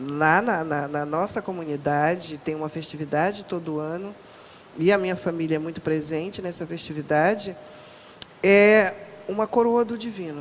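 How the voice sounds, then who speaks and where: Noticeable background noise sits under a woman with a fairly low pitch, who talks at a moderate pace with ordinary pitch variation. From northern Brazil, Pará. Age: 60s. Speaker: Afro-Brazilian religious cook and researcher. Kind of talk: podcast interview.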